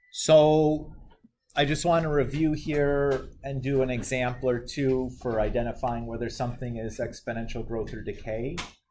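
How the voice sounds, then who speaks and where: A dark, mellow tone at a moderate pace, with fairly even intonation and audible room echo. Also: man, medium pitch for a man. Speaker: math teacher. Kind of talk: lecture.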